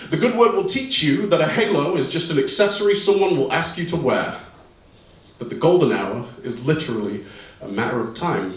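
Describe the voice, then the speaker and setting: A man with a British accent swings his pitch very widely amid noticeable background noise and audible room echo. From Britain. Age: 20s. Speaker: spoken word poet. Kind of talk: poetry performance; stage banter. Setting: stage with audience. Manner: fast.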